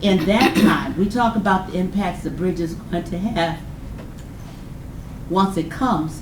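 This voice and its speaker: A woman speaks in an American accent at medium pitch with ordinary pitch variation. Audible room echo and noticeable background noise are present. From Detroit, Michigan (Delray). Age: 60s. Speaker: community resident speaker. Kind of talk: public testimony at community meeting. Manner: emotional, passionate.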